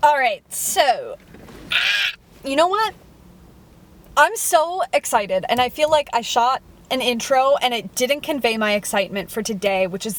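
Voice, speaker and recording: A woman speaks loudly in a high pitch, her voice swinging very widely. Noticeable background noise is present. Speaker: food reviewer vlogger. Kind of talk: casual vlog monologue. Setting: in a car. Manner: sounds sarcastic or disinterested.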